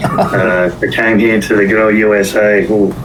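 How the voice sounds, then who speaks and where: Noticeable background noise and audible room echo surround the recording. A man with a fairly low voice speaks in an Australian accent. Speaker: business finance partner. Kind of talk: podcast interview.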